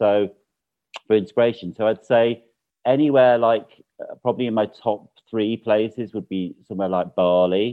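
A fairly low-pitched male voice at a moderate pace, with fairly even intonation and long, frequent pauses. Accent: Mancunian. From Manchester, northern England. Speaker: interior designer. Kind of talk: casual chat.

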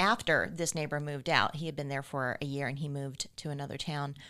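Very clean and free of background sound, the recording has a woman with an American accent speaking fairly quickly in a very deep, low voice. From rural Florida Panhandle. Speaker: paranormal content creator. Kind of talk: casual chat.

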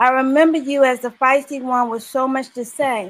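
A high-pitched woman's voice on a very clean recording with a silent background. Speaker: poet. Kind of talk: poetry reading.

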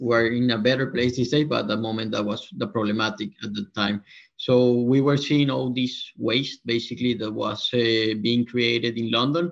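Hardly pausing, a man speaks at a medium pitch with ordinary pitch variation. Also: moderate pace. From Colombia. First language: Spanish. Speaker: company co-founder and CEO. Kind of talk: casual interview.

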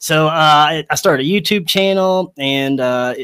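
The sound is dry and close, with no echo. A man speaks in a bright, sharp tone. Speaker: podcaster. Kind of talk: casual chat.

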